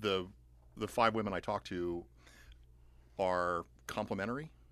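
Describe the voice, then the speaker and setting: A man talks at a fairly slow pace. His pitch sits fairly low. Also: quiet background. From US South, outside Atlanta. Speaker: playwright and professor. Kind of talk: interview. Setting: studio.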